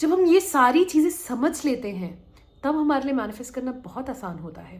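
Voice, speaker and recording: A woman with a high pitch talks at a fairly slow pace, her pitch swinging very widely. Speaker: manifestation coach. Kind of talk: motivational talk. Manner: conversational.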